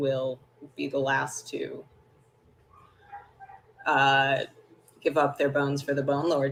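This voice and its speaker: A man's booming, put-on character voice, fairly high in pitch, fairly slow, with long, frequent pauses. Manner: ominous, ritualistic.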